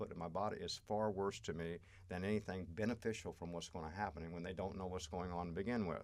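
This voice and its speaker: At a very fast pace, a man talks in a very deep, low pitch with fairly even intonation. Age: 60s. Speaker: astrology and healing guest. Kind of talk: podcast interview.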